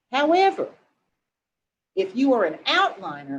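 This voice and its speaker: Speaking at a fairly slow pace, a woman with an American accent uses a high pitch and very wide pitch swings. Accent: twang. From southwest Missouri, Lawrence County and Springfield. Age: 60s. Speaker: novelist. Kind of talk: interview Q&A. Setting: webinar video call. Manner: animated.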